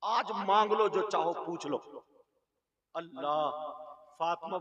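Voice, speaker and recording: A man speaks at a high pitch with ordinary pitch variation. His tone is dramatic. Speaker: Islamic preacher delivering a sermon. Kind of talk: Islamic sermon (bayan) delivered to an audience. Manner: emotional, storytelling, dramatic retelling.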